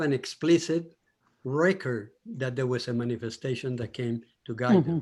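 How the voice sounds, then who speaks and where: With a Colombian accent, a man talks at a moderate pace in a medium pitch with ordinary pitch variation. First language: Spanish. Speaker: audience participant. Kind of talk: discussion comment.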